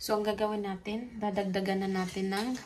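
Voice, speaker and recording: At a fairly slow pace, a woman speaks with a medium pitch. Her intonation is monotone and flat. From Philippines, Bohol. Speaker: vlogger. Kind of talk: cooking vlog.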